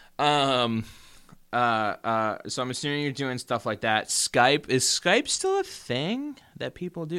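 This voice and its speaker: A man speaks at a fairly slow pace and a fairly high pitch. His tone is bright and sharp, and the recording is very clean with a silent background. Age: 20s. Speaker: podcast host. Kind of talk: casual advice monologue. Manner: halting.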